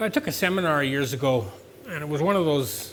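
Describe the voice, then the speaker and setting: A man with a Canadian accent, a plain, everyday voice, fairly high in pitch, with lively intonation at a fairly quick pace. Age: 60s. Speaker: farm business owner. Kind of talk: speech to an audience. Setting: event with live audience. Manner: conversational, with fillers.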